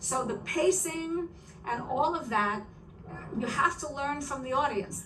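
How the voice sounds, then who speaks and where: With lively intonation and a high pitch, a woman talks at a fairly slow pace with long, frequent pauses, over noticeable background noise and audible room echo. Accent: New York. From New York City. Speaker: author and stand-up comedian. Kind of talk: interview. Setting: video podcast.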